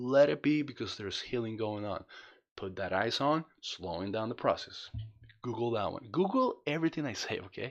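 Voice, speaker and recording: The speaker has a non-native accent and lively intonation. The pace is moderate and the background quiet. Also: man, medium pitch for a man. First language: not English. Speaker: spinal cord injury vlogger. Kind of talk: tutorial. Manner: casual, halting with repetitions.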